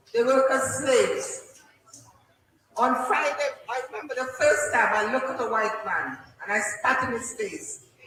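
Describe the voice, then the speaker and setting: Lively intonation marks this woman's high voice, heard with audible room echo. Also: fairly slow pace. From Trinidad and Tobago. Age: 60s. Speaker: elder community speaker, former nurse. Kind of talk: impassioned public speech. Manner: animated. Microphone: faulty microphone cutting out.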